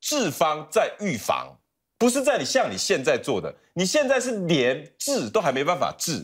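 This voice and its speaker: A man talks at a moderate pace in an animated tone. The background is quiet. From Taiwan. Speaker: talk show guest commentator. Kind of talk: talk show panel debate. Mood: indignant, critical. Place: studio. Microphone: lapel.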